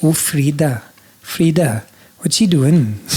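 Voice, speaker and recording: A man's pitch rises and falls normally amid noticeable background noise. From Scotland (northern Highlands village). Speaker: singer-songwriter. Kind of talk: casual chat. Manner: animated.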